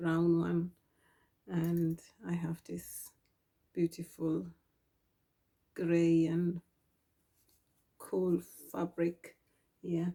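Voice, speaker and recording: A woman is speaking. Her tone is dark and mellow. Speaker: sewing vlogger. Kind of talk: casual tutorial vlog. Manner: soft-spoken; hesitant, many ums.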